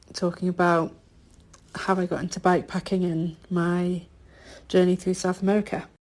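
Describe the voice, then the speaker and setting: A woman with a Yorkshire accent speaks at a fairly low pitch in a monotone, flat intonation. The recording is very clean with a silent background. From northern England, Yorkshire. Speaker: bikepacker, podcast guest. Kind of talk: interview.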